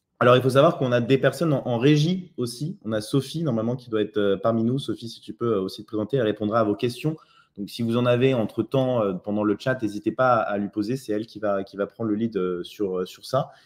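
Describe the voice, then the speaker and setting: A man talks at a fairly quick pace with hardly any pauses. His pitch varies in an ordinary way. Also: medium pitch for a man. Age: 30s. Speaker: online entrepreneur. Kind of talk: live webinar presentation. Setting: live online webinar. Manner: hesitant, many fillers.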